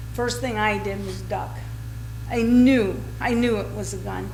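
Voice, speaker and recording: A woman speaks very slowly, her voice carrying audible room echo over noticeable background noise. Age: 60s. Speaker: resident giving public comment. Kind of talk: public comment at council meeting. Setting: city council chamber podium. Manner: halting, repeating words.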